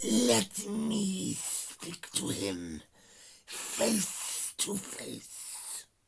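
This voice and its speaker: A man's put-on character voice, raspy and high, at a very slow pace. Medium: read story. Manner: cold, menacing.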